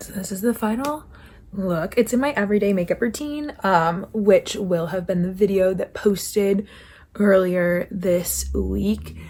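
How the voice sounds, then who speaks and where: A woman speaks at a fairly slow pace in a medium pitch with a dark, mellow tone, somewhat breathy, her pitch varying in an ordinary way while her loudness swings widely. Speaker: college student. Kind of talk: casual vlog talk to camera.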